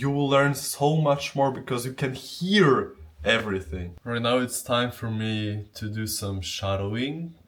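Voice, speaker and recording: Speaking in a Polish accent, a man uses a medium pitch and lively intonation. His pace is fairly slow, with hardly any pauses. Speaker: Japanese language learner. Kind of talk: casual talk to camera.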